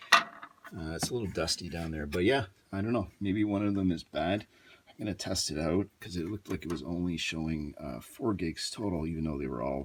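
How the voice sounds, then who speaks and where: This man's voice is very deep and low, with vocal fry. He talks at a fairly quick pace with ordinary pitch variation. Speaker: tech YouTuber. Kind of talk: casual tutorial-style hardware walkthrough. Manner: halting, many fillers.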